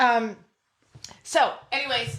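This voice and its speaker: A woman is heard with audible room echo. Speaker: podcast host. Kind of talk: casual chat. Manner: loud; animated.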